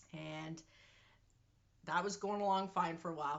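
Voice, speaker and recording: Using an ordinary speaking voice, a woman talks with a Canadian accent at a moderate pace and with ordinary pitch variation. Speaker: vlogger. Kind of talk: personal health vlog. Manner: casual.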